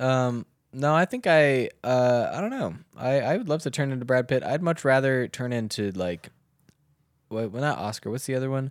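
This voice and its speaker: With an American accent, a man speaks in an ordinary speaking voice at medium pitch, a moderate pace and ordinary pitch variation. The recording is very clean, with a silent background. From US South (Southern Maryland). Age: 20s. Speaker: comedian. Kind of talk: casual chat.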